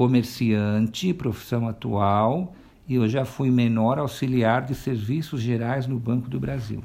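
Here a man speaks with a dark, mellow tone at a medium pitch. His pace is fairly slow and his pitch varies in an ordinary way. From São Paulo, Brazil. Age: 50s. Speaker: shopkeeper. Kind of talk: interview answers.

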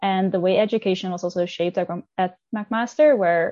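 The speaker has a Dutch accent. The pace is fairly quick. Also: woman. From Netherlands. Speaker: exchange student. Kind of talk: panel discussion.

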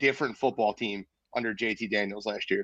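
A man with a Philadelphia accent speaks at a moderate pace. The sound is dry and close with no echo, against a quiet background. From Philadelphia, North Philly. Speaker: sports podcaster. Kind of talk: casual chat.

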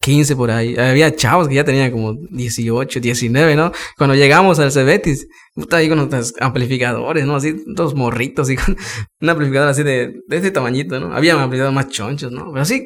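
A man with a fairly high pitch talks in an ordinary speaking voice with ordinary pitch variation. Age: 20s. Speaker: musician. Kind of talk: casual interview.

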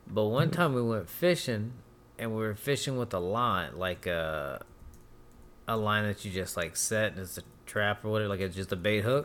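Here is a man with an ordinary speaking voice and a fairly low pitch. He speaks at a moderate pace with lively intonation. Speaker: podcast co-host. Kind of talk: casual chat.

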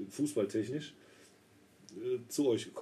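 At a moderate pace and with ordinary pitch variation, the voice carries on. Its tone is dark and mellow, with a somewhat breathy quality. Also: man. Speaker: podcast co-host, trained roofer. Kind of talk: casual chat.

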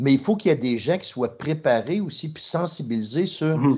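Against a quiet background, a man speaks with a Quebec accent. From Trois-Rivières, Quebec. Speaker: podcast co-host, marketing executive. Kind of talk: podcast interview.

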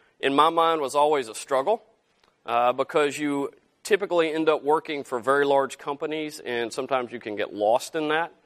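A Southern US accent, dry and close with no echo, in a very clean recording with a silent background. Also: man. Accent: Southern US drawl, still present. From Arkansas, US South. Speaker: entrepreneur, company founder, guest speaker. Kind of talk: guest lecture to students. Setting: classroom with students.

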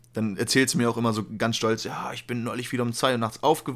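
Over a silent background in a very clean recording, a man talks at a very fast pace in a medium pitch. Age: 20s. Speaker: podcast co-host. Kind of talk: casual chat. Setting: home recording at PC.

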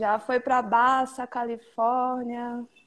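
In a monotone, flat delivery, a woman speaks at a fairly high pitch. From Salvador, Bahia, Brazil. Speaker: skateboarder and activist. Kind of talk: casual chat.

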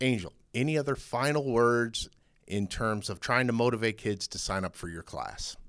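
Medium pitch, ordinary pitch variation and a moderate pace from a man with an ordinary speaking voice. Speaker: podcast host. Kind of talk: casual interview chat.

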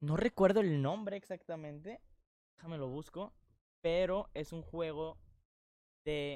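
At a fairly slow pace with long, frequent pauses, a man with a Mexican accent speaks in a high pitch, his tone dark and mellow and his pitch variation ordinary. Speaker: podcast co-host. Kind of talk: casual chat. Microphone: new sponsored microphone.

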